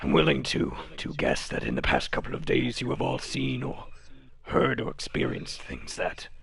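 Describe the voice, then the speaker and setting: A man performs a put-on character voice at a moderate pace over light background noise. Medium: actual play. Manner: formal, precise.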